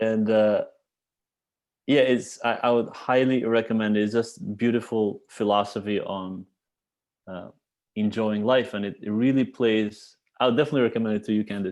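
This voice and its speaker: A man with an Albanian accent at a medium pitch, moderate pace, long and frequent pauses, and a quiet background. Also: fairly even intonation. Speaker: cellist. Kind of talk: casual chat. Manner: halting.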